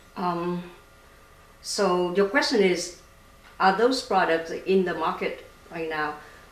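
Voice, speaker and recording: Very slow speech from a woman with a Vietnamese accent, fairly low pitch, ordinary pitch variation and long, frequent pauses. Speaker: startup founder and scientist. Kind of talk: interview. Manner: halting, many fillers.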